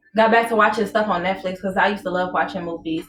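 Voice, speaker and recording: Music plays in the background. A woman speaks at a medium pitch. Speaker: podcast co-host. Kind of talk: casual chat. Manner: soft-spoken.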